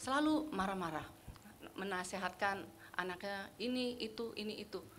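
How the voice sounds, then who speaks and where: Her voice has a bright, sharp tone and ordinary pitch variation. The woman talks at a fairly quick pace, and room echo is audible. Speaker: women's fellowship leader. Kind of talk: casual church fellowship talk.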